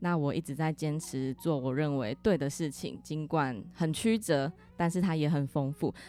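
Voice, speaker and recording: A woman speaks at a moderate pace with hardly any pauses, her very deep, low voice dark and mellow in tone, with ordinary pitch variation. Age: 20s. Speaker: insurance agent. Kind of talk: interview; closing message.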